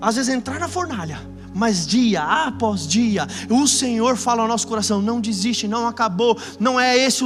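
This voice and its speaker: Against noticeable background noise, a man speaks in a raised, projected voice. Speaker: pastor. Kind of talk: sermon. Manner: fast; animated.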